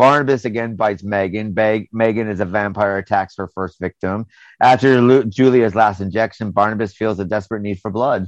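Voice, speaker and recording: A man speaks in an ordinary speaking voice with fairly even intonation. The sound is dry and close with no echo, against a quiet background. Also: fairly low pitch for a man, fairly quick pace. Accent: American. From United States. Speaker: podcast host. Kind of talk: casual chat. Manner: casual, conversational.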